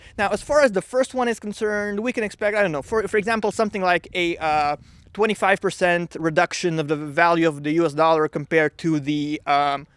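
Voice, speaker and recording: Fairly quick speech with a non-native accent, hardly any pauses and ordinary pitch variation, on a very clean recording with a silent background and a dry, close sound with no echo. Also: man, high pitch for a man. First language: not English. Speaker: economics YouTuber. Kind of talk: casual explainer video. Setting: vacationing at in-laws' home. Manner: hesitant, many fillers.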